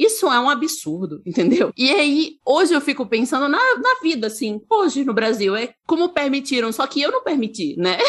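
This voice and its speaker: A woman talks at a moderate pace and a high pitch with very wide pitch swings and hardly any pauses. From Brazil, Sergipe (Aracaju). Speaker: futurist researcher and content creator. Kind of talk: casual interview conversation.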